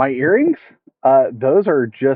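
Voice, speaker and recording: A man with an American accent and a medium-pitched voice. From United States, not Arkansas. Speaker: fishing streamer. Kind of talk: live stream tutorial and chat. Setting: outdoors, streaming from phone. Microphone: phone mic with headphones, poor audio.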